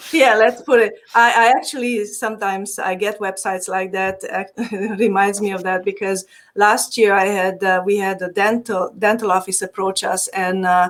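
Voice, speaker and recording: A woman at a medium pitch with a Hungarian accent, fairly even intonation and a moderate pace. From Transylvania, Romania (Hungarian community). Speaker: digital marketing agency owner. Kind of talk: podcast interview.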